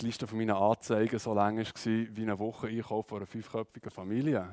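Recorded in a dry, close sound with no echo, a man with a Swiss accent speaks at a medium pitch in a monotone, flat way. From Switzerland, Aargau. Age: 20s. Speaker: church youth speaker. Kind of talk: testimony talk. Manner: halting, many fillers.

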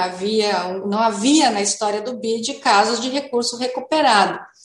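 A fairly high-pitched woman's voice with audible room echo. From Novo Hamburgo, Rio Grande do Sul, Brazil. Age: 50s. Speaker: mayor. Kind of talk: radio interview.

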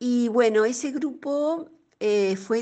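A woman is speaking. Her intonation is lively. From Uruguay. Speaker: storytelling teacher. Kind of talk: interview. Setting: remote call.

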